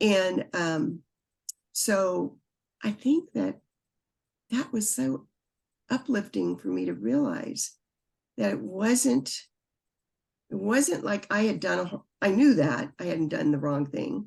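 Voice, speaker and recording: A woman speaks at a very slow pace. Her words are split by long, frequent pauses. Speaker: author, birth mother. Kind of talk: interview answer.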